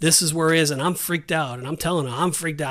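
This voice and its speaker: With an American accent and fairly even intonation, a man talks in an ordinary speaking voice. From Southern California. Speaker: pastor and podcast co-host. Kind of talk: casual chat and testimony.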